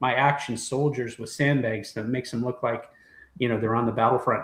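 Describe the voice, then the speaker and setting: A man speaks in a somewhat breathy voice. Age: 60s. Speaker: toy collector and former toy brand executive. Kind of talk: casual chat.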